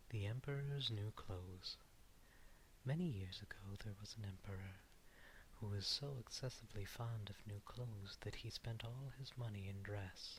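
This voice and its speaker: Soft-spoken words come at a moderate pace. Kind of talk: fairy tale reading; ASMR.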